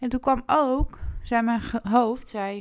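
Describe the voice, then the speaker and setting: A very clean recording with a silent background, the speech very slow. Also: woman. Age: 20s. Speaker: personal development coach. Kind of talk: podcast monologue.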